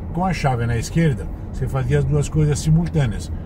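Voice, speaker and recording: Over noticeable background noise, a man with an Italian accent talks at a moderate pace, the sound dry with no echo. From Italy. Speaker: motorsport journalist. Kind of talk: interview answer. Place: car. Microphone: camera far.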